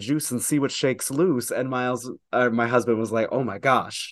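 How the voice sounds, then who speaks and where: An ordinary speaking voice moves at a moderate pace with fairly even intonation. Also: man, quiet background. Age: 20s. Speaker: drag performer. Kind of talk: casual chat.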